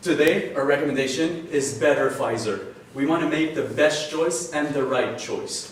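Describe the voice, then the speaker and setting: A man's fairly high voice in a French accent, moderate in pace with ordinary pitch variation, amid noticeable background noise and audible room echo. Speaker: student case competitor. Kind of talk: case competition presentation.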